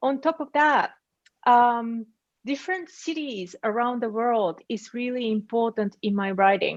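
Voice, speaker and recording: In a Japanese accent, a woman with a high pitch speaks at a fairly slow pace. Her intonation is lively, and the background is quiet. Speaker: writer. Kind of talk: panel discussion.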